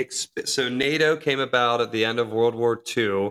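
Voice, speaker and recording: In a very clean recording with a silent background, an unremarkable speaking voice with an American accent keeps a fairly even intonation. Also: man. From United States. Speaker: podcast host. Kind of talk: casual interview.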